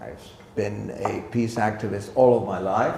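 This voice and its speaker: A man with an American accent talks in a monotone, flat intonation amid noticeable background noise and audible room echo. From United States. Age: 70s. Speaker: law professor. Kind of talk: public talk.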